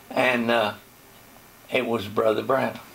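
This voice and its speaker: With noticeable background noise behind him, a man talks fairly slowly. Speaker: retired pastor. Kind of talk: interview answer.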